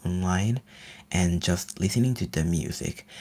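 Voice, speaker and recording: A man with an American accent, somewhat breathy, with lively intonation, in a very clean recording against a silent background. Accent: easily mistaken for American. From Finland. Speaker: ASMR livestreamer. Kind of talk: casual livestream chat. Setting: livestream. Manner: animated.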